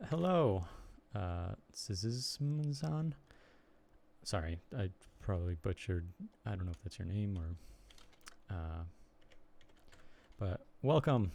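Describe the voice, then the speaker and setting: Speaking very slowly with long, frequent pauses, a man with an American accent uses a dark, mellow, somewhat breathy voice of fairly low pitch with very wide pitch swings. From US Midwest, Chicago area. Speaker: streamer and blogger. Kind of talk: casual live stream chat. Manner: halting, many fillers.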